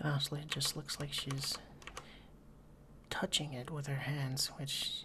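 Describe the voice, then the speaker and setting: Over noticeable background noise, a soft-spoken man with a fairly high pitch talks at a moderate pace in a monotone, flat intonation. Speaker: ASMR content creator. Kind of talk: let's play game commentary.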